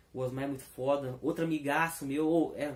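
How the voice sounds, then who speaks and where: This man speaks at a moderate pace. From Belo Horizonte, Minas Gerais, Brazil. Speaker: comic book speaker. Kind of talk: talk. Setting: live stream. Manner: spontaneous, unscripted.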